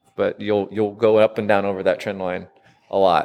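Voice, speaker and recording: A man with an American accent talks at a moderate pace in a fairly low pitch and a plain, everyday voice. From US Midwest, southern rural Illinois. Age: 30s. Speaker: gym member, weight-loss story. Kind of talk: casual interview.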